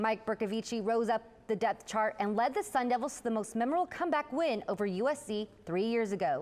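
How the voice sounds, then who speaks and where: With an ordinary speaking voice, a woman talks at a fairly quick pace and a fairly high pitch, her intonation lively. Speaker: sports reporter and anchor. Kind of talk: sports news report.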